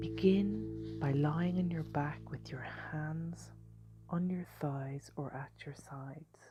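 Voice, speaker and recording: A woman at a very slow pace, with big swings in loudness and music in the background. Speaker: meditation guide. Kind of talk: guided sleep meditation. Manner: slow, soft-spoken.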